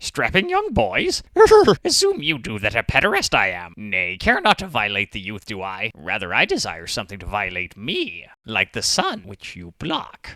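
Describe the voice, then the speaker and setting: A man puts on a cartoonish character voice at medium pitch, speaking at a moderate pace. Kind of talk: comedic anime parody dub. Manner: odd inverted word order.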